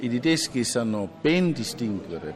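Against noticeable background noise, a man speaks at medium pitch with a German accent. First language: German (speaking Italian). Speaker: library director. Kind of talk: interview.

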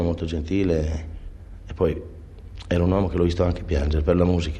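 A man speaks in a very deep, low pitch with a dark, mellow tone, somewhat breathy and fairly even in intonation, with audible room echo. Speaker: jazz clarinettist. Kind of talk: interview. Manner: halting.

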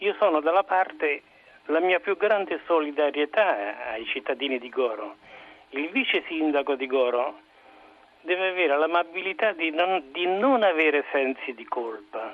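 A man's fairly high voice with lively intonation at a moderate pace, over noticeable background noise. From Rome. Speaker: caller. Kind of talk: opinionated call-in comment. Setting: phone call.

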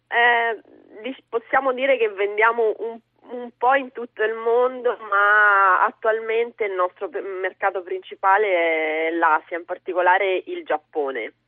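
At a very slow pace, a woman speaks with lively intonation. Her pitch is fairly high. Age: 30s. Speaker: hat maker and entrepreneur. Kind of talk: radio interview.

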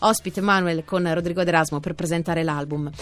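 Over background music, a woman talks at a fairly quick pace. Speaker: radio host. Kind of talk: radio music show with interview.

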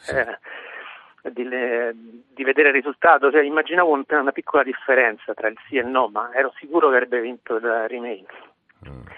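Medium pitch and ordinary pitch variation from a man, at a fairly quick pace. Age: 40s. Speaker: PhD student caller. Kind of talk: testimony.

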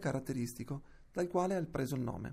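A man talks at a fairly quick pace with lively intonation against a quiet background. His voice is somewhat breathy, with a dark, mellow tone. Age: 30s. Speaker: reader of historical letters. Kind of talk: reading aloud.

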